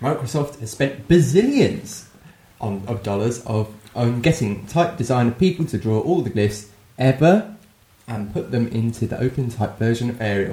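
A man speaks at a moderate pace with a medium pitch and a dark, mellow tone. His voice is somewhat breathy, and his intonation is lively. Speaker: podcast co-host. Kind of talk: casual banter among friends.

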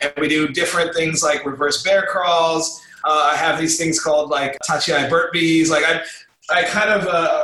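With an American accent and ordinary pitch variation, a man speaks at a high pitch amid audible room echo. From Los Angeles, US. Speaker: amateur sumo wrestler and coach. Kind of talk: recorded interview. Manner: casual, halting with repetitions.

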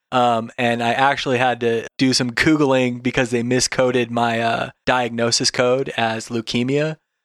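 The speech comes at a fairly slow pace, with hardly any pauses and very even loudness. Its intonation is flat and monotone, and the sound is dry and close with no echo. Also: man, medium pitch for a man. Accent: American. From Washington State and Alaska, US. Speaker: gamer and digital nomad. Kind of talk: casual chat.

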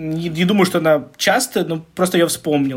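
Using a normal speaking voice, a man talks at a fairly slow pace and a fairly high pitch, with ordinary pitch variation. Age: 30s. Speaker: podcast co-host, hospice coordinator. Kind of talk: casual chat.

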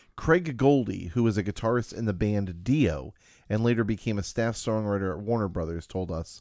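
The recording is very clean, with a silent background. A man speaks in a fairly low pitch with a dark, mellow tone. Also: lively intonation, moderate pace. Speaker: podcast host. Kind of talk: casual chat.

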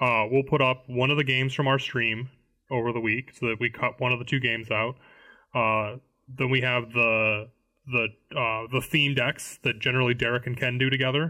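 A man speaks at medium pitch with an American accent. His intonation is monotone and flat. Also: moderate pace. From US Midwest (Illinois). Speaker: Magic: the Gathering content group member. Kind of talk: casual chat.

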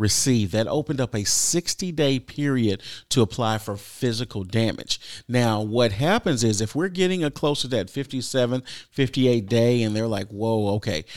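In a very clean recording with a silent background, a man with an American accent uses an unremarkable speaking voice, medium in pitch with ordinary pitch variation, at a moderate pace. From Texas. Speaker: government public information officer. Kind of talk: radio interview.

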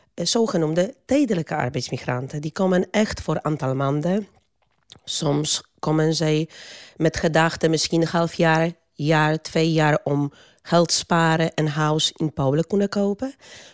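Speaking with a Polish accent, a woman uses a fairly low pitch and lively intonation at a fairly slow pace, in a very clean recording with a silent background and a dry, close sound with no echo. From Poland. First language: Polish (speaking Dutch). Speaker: migrant worker advocate. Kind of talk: interview. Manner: halting.

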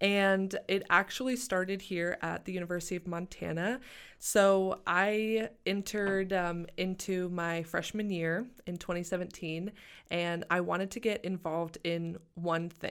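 A woman with an American accent uses a plain, everyday voice at medium pitch and a fairly slow pace. The recording is very clean, with a silent background. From Arkansas, US South. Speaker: MBA student. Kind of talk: interview. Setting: studio.

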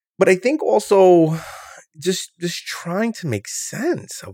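The recording is very clean, with a silent background. A man speaks in a New York accent. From New York City, Brooklyn (Coney Island). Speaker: professor, podcast co-host. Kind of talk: casual chat.

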